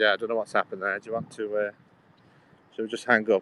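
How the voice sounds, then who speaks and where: This man has a medium pitch and a bright, sharp tone. The sound is dry and close, with no echo. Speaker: livestreamer. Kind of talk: casual livestream chat. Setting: outdoors, walking along a canal.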